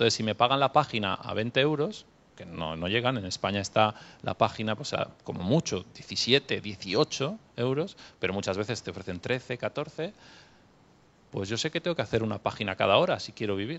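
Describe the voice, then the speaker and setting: Speaking at a fairly quick pace, a man uses lively intonation. His unremarkable speaking voice sits at medium pitch. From Catalonia, Spain. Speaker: novelist and translator. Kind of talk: panel discussion Q&A.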